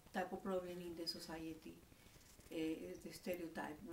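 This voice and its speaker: A woman speaks in a Spanish accent at a moderate pace. Room echo is audible. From Colombia. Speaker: interviewee. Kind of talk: interview answer.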